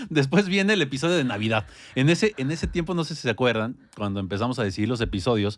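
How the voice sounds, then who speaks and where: A man's pitch swings very widely as he speaks at a very fast speed. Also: medium pitch for a man. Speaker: podcast co-host. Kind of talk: casual chat.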